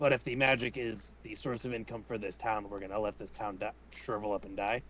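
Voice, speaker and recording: Over clear background noise, a man does a raspy put-on character voice at medium pitch and a fairly quick pace. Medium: actual play. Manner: eager, talks over others.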